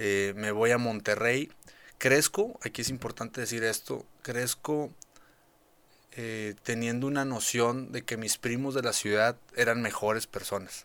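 The recording is very clean, with a silent background. A man speaks fairly slowly at a medium pitch, his intonation fairly even. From rural Nuevo León, Mexico. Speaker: state agriculture official and cattle rancher. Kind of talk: casual interview. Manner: halting, many fillers and repetitions.

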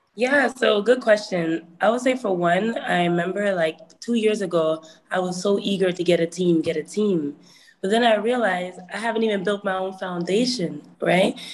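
Background noise is easy to hear as a woman talks at a measured, moderate speed. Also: medium pitch for a woman, ordinary pitch variation. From Toronto area, Canada. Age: 20s. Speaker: hip hop artist. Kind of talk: webinar talk. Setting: video call.

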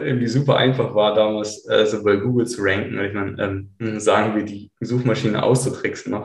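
This man's voice is somewhat breathy and medium in pitch. He speaks with hardly any pauses and ordinary pitch variation. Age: 30s. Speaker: blogger and SEO consultant. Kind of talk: interview. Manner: halting, many fillers.

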